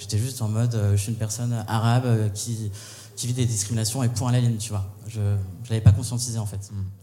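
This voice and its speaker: Very fast male speech at medium pitch, monotone and flat, dark and mellow in tone, somewhat breathy, with audible room echo. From Paris region (Val-de-Marne). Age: 20s. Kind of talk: live panel discussion. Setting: stage with audience.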